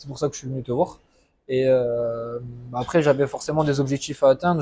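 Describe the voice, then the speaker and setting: Here a man's voice sits fairly high in pitch, with a dark, mellow tone. He keeps a moderate pace and fairly even intonation. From southwest France (Landes). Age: 20s. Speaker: coaching client. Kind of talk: testimony interview. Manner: hesitant, many fillers.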